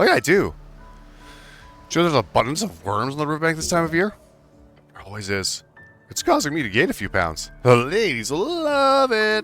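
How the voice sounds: Faint music plays behind a man doing a put-on character voice, squeaky and fairly high in pitch. He talks at a fairly quick pace but takes long, frequent pauses.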